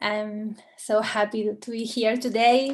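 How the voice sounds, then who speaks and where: A woman with a non-native accent talks in a fairly high pitch. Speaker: communication specialist. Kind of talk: workshop presentation. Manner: slow.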